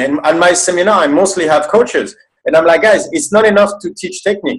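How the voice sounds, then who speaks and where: A man's high voice with a French accent, very fast in pace and lively in intonation. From France. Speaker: movement specialist and seminar coach. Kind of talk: casual interview chat.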